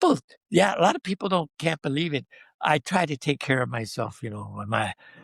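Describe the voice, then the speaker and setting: With an American accent and vocal fry, this man talks at a fairly quick pace and fairly high pitch, his intonation lively, in a dry, close sound with no echo. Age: 80s+. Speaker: veteran pianist. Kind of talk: casual interview chat.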